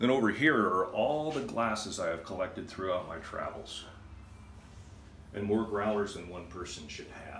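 Over light background noise and audible room echo, a man speaks at a moderate pace in a fairly low pitch. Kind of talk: casual tour explanation. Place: home room. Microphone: phone near.

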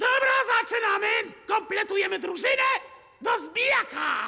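A man shouting in a cartoonish character voice, extremely high-pitched, at a moderate pace. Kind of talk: classroom lecture. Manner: stern, curt.

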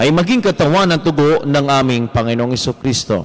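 Speaking at a fairly quick pace, a man uses a fairly high voice. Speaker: priest. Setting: church. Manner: formal, solemn, devout. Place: church.

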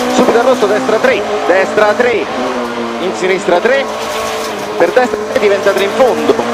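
Over loud background noise, the voice moves at a moderate pace with long, frequent pauses. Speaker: rally co-driver. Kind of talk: rally pace notes read out loud to the driver during a stage. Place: car. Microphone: helmet.

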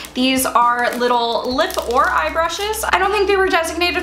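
A woman speaks in a raised, projected voice at a moderate pace with ordinary pitch variation, over light background noise and audible room echo. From US Mid-Atlantic, Baltimore; Maryland. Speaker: beauty YouTuber. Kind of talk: product haul video. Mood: enthusiastic.

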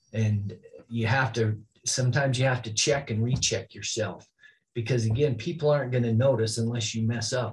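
Somewhat breathy, a man with an American accent talks at a fairly quick pace with fairly even intonation. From northern Utah, Oakley; Utah. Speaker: high school athletic director; podcast guest. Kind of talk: interview. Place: office.

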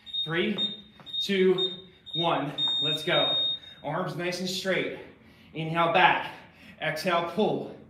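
A high-pitched male voice at a very slow pace and with fairly even intonation, amid audible room echo and noticeable background noise. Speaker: fitness coach. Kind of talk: workout instruction. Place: gym. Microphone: camera far.

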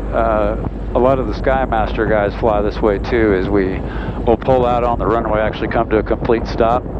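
At a moderate pace, the voice comes through dry with no echo despite loud background noise. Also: man. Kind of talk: explanatory commentary while flying. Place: plane. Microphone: headset.

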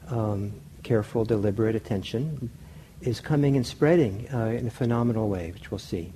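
A man speaks at a moderate pace with a somewhat breathy, dark and mellow tone and ordinary pitch variation over light background noise. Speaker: meditation teacher. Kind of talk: lecture. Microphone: lapel.

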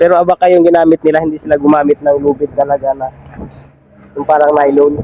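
Delivered at a very fast pace, the speech is monotone and flat, with noticeable background noise behind it. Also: man, fairly high pitch for a man. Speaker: motovlogger. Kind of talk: vlog narration.

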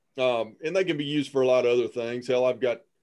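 Very fast speech from a man, the background quiet. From western Kentucky. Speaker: wildlife biologist. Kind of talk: webinar. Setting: video call. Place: office. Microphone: video call.

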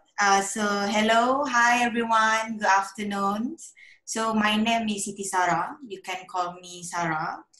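Against a quiet background with audible room echo, the speaker keeps a fairly even intonation. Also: woman. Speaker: guest. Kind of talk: presentation talk. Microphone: video call.

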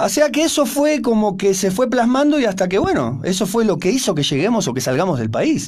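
A man speaks at a high pitch and a fairly quick pace. His pitch swings very widely while his loudness stays very even. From Argentina. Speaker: rock musician; guest. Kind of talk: radio interview. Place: studio. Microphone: studio mic.

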